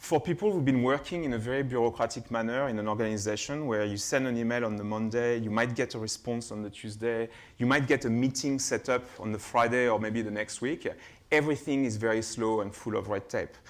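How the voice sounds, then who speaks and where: A man with a French accent, medium pitch, fairly quick pace and fairly even intonation. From France, Burgundy. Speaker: keynote speaker, innovation lab head. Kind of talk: keynote presentation. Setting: conference stage with audience. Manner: hesitant, many fillers.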